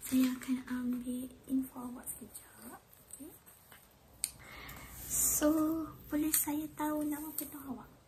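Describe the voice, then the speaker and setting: Over noticeable background noise, a soft-spoken woman talks at a very slow pace in a gentle tone, with a high pitch and fairly even intonation. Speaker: ASMR creator. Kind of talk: ASMR roleplay, clinic lice check. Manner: soft-spoken, gentle.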